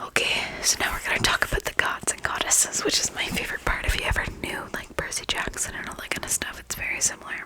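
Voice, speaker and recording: A woman whispers at a fairly quick pace over noticeable background noise. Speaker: ASMR creator. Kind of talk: ASMR sleep reading. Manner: whispered, soft.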